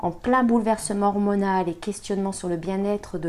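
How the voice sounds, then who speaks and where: A woman speaks in a normal speaking voice at a moderate pace. Her medium pitch keeps a fairly even intonation. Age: 40s. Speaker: communication consultant and mother. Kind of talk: interview testimony.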